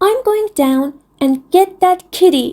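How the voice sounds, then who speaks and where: A squeaky, put-on character voice moves at a fairly slow pace with lively intonation. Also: woman. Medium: read story. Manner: wistful, yearning.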